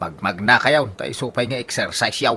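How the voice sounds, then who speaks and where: Putting on a character voice, a man at medium pitch uses lively intonation at a moderate pace. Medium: audio drama.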